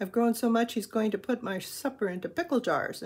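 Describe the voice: Reading aloud, plainly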